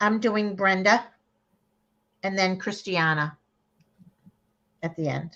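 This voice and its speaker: A woman with a Boston accent talks at a very slow pace, leaving long, frequent pauses. Her medium-pitched voice has a bright, sharp tone and ordinary pitch variation. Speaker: psychic card reader. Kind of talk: live online card reading. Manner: animated, conversational with frequent fillers.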